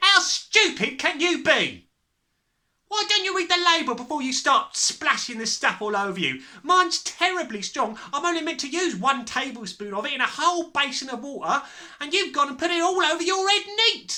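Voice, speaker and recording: A female-sounding, put-on character voice, shrill and high-pitched for a woman, at a moderate pace. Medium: read story. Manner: shrieking.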